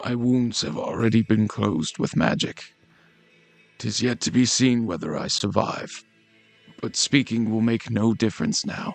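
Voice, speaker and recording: Faint music plays behind a man doing a put-on character voice at medium pitch and a moderate pace. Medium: read story.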